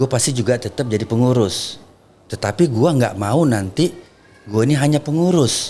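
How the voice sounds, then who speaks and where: A man speaks at a moderate pace and medium pitch, with lively intonation and very even loudness. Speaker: labor union leader. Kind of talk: podcast interview. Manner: soft-spoken.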